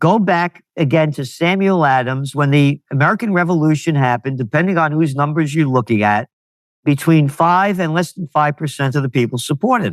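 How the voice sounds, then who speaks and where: A man with a New York accent at a fairly high pitch and fairly quick pace, ordinary pitch variation, and a dry, close sound with no echo. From US Northeast (New York, Bronx). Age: 70s. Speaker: trend forecaster and publisher. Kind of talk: interview. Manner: animated.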